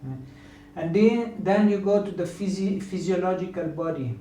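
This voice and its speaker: A man with a high voice talks at a fairly slow pace and ordinary pitch variation, with audible room echo and noticeable background noise. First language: not English. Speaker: yoga teacher. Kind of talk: lecture. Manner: halting.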